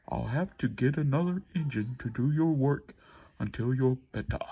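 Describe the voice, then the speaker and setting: A man performs in a put-on character voice. It sits at medium pitch with ordinary pitch variation. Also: moderate pace. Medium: read story. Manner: authoritative.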